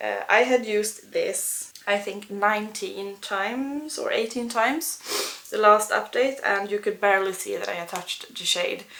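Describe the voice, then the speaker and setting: Noticeable background noise accompanies this recording. A woman talks at a moderate pace. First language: not English. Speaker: beauty vlogger and English teacher. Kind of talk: casual product review vlog. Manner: halting, many fillers.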